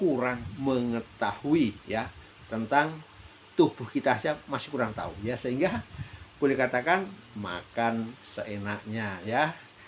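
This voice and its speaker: This man speaks at a very slow pace in a medium pitch. His intonation is lively. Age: 60s. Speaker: health practitioner sharing life advice. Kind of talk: solo talk / monologue. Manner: hesitant, many fillers.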